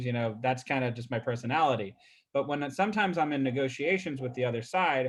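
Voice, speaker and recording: A man speaks at a medium pitch. His pitch variation is ordinary. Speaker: real estate agent. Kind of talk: casual, conversational. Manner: fast talker, excitable.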